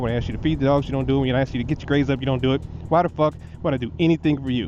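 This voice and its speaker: A man at a medium pitch and a very fast pace, with ordinary pitch variation and noticeable background noise. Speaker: motorcycle vlogger. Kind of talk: casual vlog monologue. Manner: animated.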